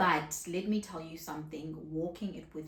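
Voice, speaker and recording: Soft-spoken and somewhat breathy, a woman talks at a fairly slow pace with a very deep, low pitch. Room echo is audible. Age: 30s. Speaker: content creator. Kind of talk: casual vlog talk to camera.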